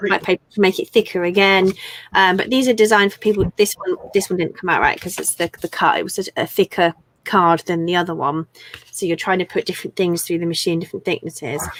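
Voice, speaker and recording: Speaking with an English accent, a woman goes at a very fast pace with fairly even intonation. The sound is dry and close, with no echo. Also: medium pitch for a woman. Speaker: crafter and online seller. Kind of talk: live stream chat with product show. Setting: live stream. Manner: telephone voice on streams.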